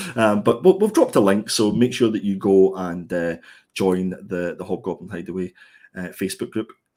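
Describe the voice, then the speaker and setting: On a very clean recording with a silent background, a man with a Scottish accent speaks at a moderate pace in a fairly low, dark, mellow voice with fairly even intonation. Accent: Scottish, gritty. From Scotland. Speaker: comic book reviewer. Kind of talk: casual chat. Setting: live stream.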